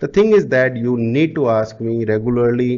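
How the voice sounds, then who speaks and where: With an Indian accent, a man talks at a moderate pace. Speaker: digital marketing coach. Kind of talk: sales pitch.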